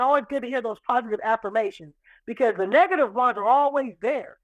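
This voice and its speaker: A woman speaks very fast in an animated tone with an American accent. The sound is dry and close, with no echo. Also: quiet background. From Seattle, Central District. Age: 50s. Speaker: restaurant owner. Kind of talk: casual interview chat.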